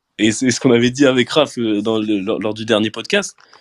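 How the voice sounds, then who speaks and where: A man is heard here. His voice sounds dry and close, without any echo. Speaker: cycling podcast host. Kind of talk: casual chat. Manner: hesitant, many fillers and repetitions.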